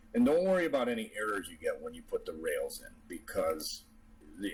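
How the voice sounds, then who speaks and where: The pace of the speech is moderate. Music can be heard in the background. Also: man. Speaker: CAD tutorial maker, RC model builder. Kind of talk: software tutorial. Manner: casual, with fillers.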